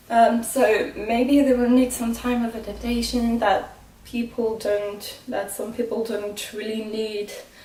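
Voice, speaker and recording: Amid noticeable background noise and audible room echo, a woman speaks at a very slow pace with fairly even intonation. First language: not English. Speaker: motorsport vlogger. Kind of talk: casual vlog commentary. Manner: halting, many fillers.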